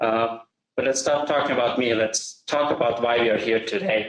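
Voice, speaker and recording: A man speaks at a moderate pace with an Austrian accent and fairly even intonation. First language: German. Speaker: software integration expert. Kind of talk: webinar presentation.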